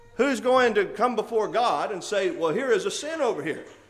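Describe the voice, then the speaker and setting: Through audible room echo, a man speaks at a high pitch with very wide pitch swings. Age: 40s. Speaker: church elder preaching. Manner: earnest, conversational preaching with rhetorical questions and occasional laughs; hesitant fillers (uh) between emphatic declarations.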